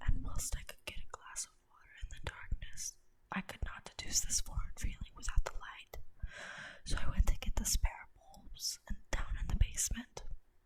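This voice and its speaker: Whispering with big swings in loudness, a woman is heard over noticeable background noise. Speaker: ASMR creator reading Reddit scary stories. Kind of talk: first-person horror story narration. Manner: whispered, slow, deliberate.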